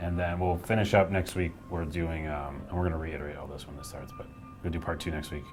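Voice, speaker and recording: Music plays in the background as a man with a very deep, low voice speaks at a fairly quick pace, with audible room echo. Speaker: game studio staffer hosting a live stream. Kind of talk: casual chat. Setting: office live stream. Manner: loud; animated.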